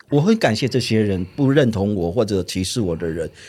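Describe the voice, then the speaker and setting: On a very clean recording with a silent background, a dark, mellow voice moves at a fairly quick pace with lively intonation. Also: man. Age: 50s. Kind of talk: interview.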